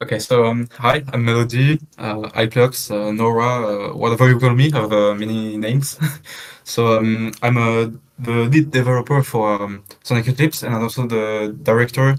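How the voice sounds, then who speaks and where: Speaking with a strong French accent, a man keeps a moderate pace, medium pitch and fairly even intonation. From France. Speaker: lead fan game developer. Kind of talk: casual chat. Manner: halting, many fillers.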